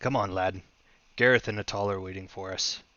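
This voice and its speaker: Using a put-on character voice, a man sounds raspy and gruff at a fairly low pitch. He moves at a fairly quick pace with fairly even intonation. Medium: actual play. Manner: solemn, honorable.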